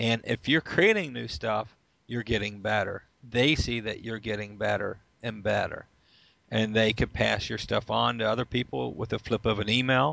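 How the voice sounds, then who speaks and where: Vocal fry from a man at a medium pitch, with ordinary pitch variation and a moderate pace. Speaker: magazine publisher. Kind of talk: casual chat.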